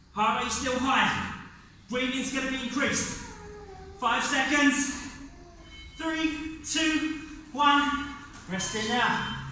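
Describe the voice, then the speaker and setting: A man is heard with strong room echo. Light background noise sits behind him. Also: ordinary pitch variation. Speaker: fitness instructor. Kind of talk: guided workout class. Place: gym. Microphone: camera far.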